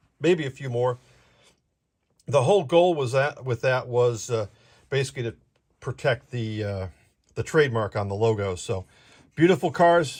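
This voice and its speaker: A man speaks at a medium pitch with lively intonation and a somewhat breathy voice. He leaves long, frequent pauses, and the recording is very clean with a silent background. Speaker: model train hobbyist streamer. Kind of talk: live stream product walkthrough. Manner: fast.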